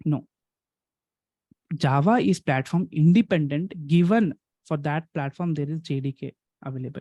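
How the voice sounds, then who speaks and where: With an Indian accent, a man speaks in a fairly high pitch with a dark, mellow tone, somewhat breathy, and ordinary pitch variation. The sound is dry and close with no echo, and his pauses are long and frequent. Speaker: programming teacher. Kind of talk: online lecture. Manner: fast.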